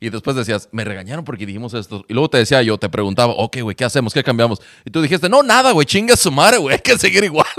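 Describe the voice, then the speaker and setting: Barely pausing, a man races along at a very fast pace in a medium pitch with lively intonation. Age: 40s. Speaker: podcast host, former radio host. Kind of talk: casual chat. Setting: remote recording.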